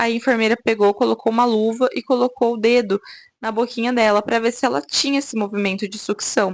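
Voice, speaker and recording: At a fairly quick pace, a woman with a normal speaking voice uses lively intonation against a quiet background. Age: 20s. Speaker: mom vlogger. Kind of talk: personal testimony vlog. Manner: casual, conversational.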